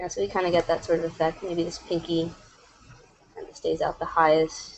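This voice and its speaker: A woman's voice with big swings in loudness over noticeable background noise. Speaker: animator. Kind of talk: tutorial. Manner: casual, lots of fillers; fast.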